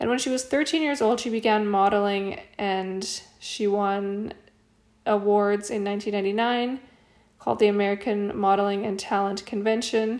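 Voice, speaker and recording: This woman has a plain, everyday voice, pitched in the medium range. She talks fairly slowly, with fairly even intonation. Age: 30s. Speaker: podcast host. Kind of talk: solo commentary.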